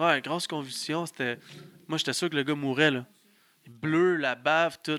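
Long, frequent pauses break up this man's fairly high, bright, sharp voice. He speaks with a Quebec accent and fairly even intonation. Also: fairly slow pace. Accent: Québécois French. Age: 20s. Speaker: pro wrestler. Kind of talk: casual chat. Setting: studio.

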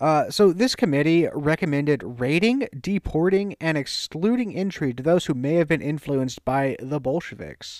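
A man's plain, everyday voice with an American accent, lively intonation and a moderate pace, hardly any pauses, on a very clean recording with a silent background. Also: fairly high pitch for a man. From US South. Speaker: podcast co-host. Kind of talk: reading an essay aloud.

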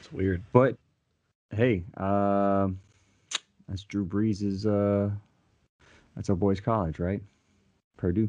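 A man with an American accent speaks at a very slow pace, his pitch fairly low and his tone dark and mellow. Long, frequent pauses break up his speech. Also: fairly even intonation. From US South. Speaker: podcast co-host. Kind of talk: casual chat.

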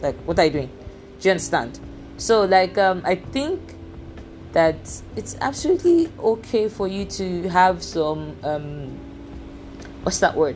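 A woman with a Nigerian accent talks at a fairly slow pace, leaving long, frequent pauses. Noticeable background noise runs beneath her. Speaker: podcast host. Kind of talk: personal monologue. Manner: halting.

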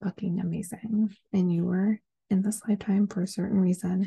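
In an American accent, a woman talks fairly quickly at a medium pitch, somewhat breathy, with a dark, mellow tone, flat monotone intonation, and a dry, close sound with no echo. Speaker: podcast host. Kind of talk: casual solo podcast monologue. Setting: home recording at night. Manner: casual, chatty, filler-heavy.

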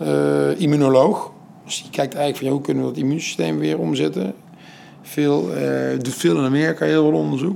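A man is speaking. His pace is fairly quick. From Netherlands, Den Bosch. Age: 40s. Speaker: entrepreneur and foundation founder. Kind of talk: interview. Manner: halting.

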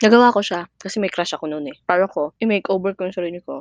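A woman with an ordinary speaking voice, medium pitch and ordinary pitch variation, recorded with a dry, close sound and no echo. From Mindanao, Philippines (Cotabato City). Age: 20s. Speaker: podcaster, teacher. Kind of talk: casual personal monologue.

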